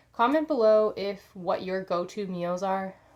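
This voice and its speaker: On a very clean recording with a silent background, a woman uses an ordinary speaking voice at a medium pitch, with ordinary pitch variation and a moderate pace. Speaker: lifestyle vlogger. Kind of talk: casual vlog talk to camera.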